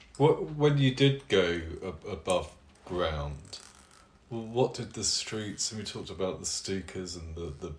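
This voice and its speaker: The voice moves at a fairly slow pace and is somewhat breathy, with big swings in loudness and very wide pitch swings. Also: man, fairly low pitch for a man. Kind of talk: interview question.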